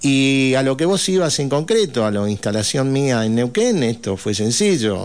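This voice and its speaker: A man speaks with very wide pitch swings. He hardly pauses at all. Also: medium pitch for a man, fairly slow pace, very even loudness. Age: 60s. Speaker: provincial legislator. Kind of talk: radio interview. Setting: radio studio.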